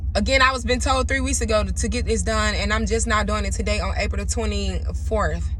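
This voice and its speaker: This woman talks in an animated tone with hardly any pauses. Noticeable background noise and audible room echo surround her. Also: fairly quick pace. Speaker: spiritual astrology content creator. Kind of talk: casual monologue to camera. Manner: raw, unpolished.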